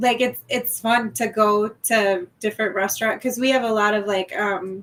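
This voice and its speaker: With a Midwestern accent, a woman speaks at a fairly high pitch using fairly even intonation. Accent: Midwest. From Wisconsin (US Midwest). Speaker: guest. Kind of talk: casual chat.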